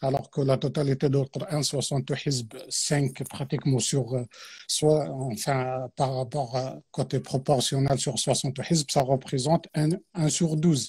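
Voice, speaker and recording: On a very clean recording with a silent background, a man with an Arabic accent speaks at medium pitch and a fairly slow pace, somewhat breathy, with fairly even intonation. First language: Arabic (speaking French). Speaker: Quran teacher. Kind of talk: religious talk on a live stream. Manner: hesitant, many fillers.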